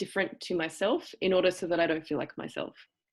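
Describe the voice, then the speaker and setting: A woman with an Australian accent speaks at a medium pitch with ordinary pitch variation. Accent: cultivated Australian. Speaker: acting teacher. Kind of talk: lecture. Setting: video call. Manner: halting.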